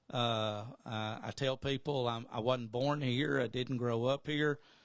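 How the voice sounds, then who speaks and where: This man speaks with an Alabama accent. His pitch is medium. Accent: Southern US (Alabama). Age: 60s. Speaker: radio station owner and sports announcer. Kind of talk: casual podcast interview. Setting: makeshift studio.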